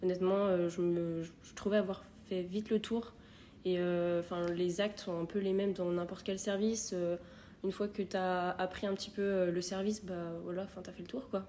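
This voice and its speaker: A woman's dark, mellow voice in a flat monotone. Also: medium pitch for a woman, moderate pace. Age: 20s. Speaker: nursing assistant and nursing student. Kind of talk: casual interview.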